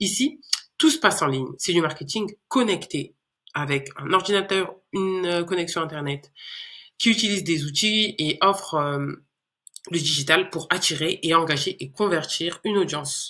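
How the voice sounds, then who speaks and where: Her tone comes across bright and sharp. This woman talks at a fairly slow pace. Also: fairly low pitch for a woman, ordinary pitch variation. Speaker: YouTuber teaching digital marketing. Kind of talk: casual explainer. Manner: hesitant, many fillers.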